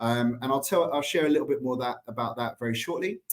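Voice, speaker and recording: This man talks at a very fast pace in an English accent. His voice sits at a medium pitch with ordinary pitch variation. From England, London. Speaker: staffing company president. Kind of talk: conference talk.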